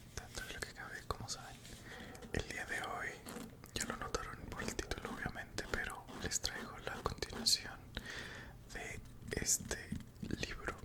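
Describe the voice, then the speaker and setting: Someone whispers at a fairly slow pace with long, frequent pauses. Noticeable background noise is present. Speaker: ASMR creator. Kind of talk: casual talk to camera. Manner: whispered.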